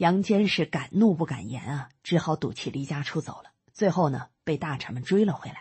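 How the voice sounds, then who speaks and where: A woman speaks with a very deep, low pitch, a warm tone and lively intonation, somewhat breathy and with hardly any pauses. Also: moderate pace. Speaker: audiobook narrator. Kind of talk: audiobook-style narration summarizing a history book, explanatory and storytelling. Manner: steady, measured, explanatory storyteller pace; conversational asides with fillers like 呢 and 啊, warm and instructive.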